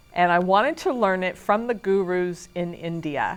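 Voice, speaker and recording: A woman speaks at a moderate pace. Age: 50s. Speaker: student. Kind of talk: testimony.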